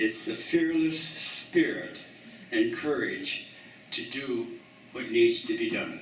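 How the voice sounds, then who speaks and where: A man's very slow speech, with long, frequent pauses and audible room echo. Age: 80s+. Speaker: eulogy speaker, water skier. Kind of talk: memorial tribute speech. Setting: community center memorial gathering.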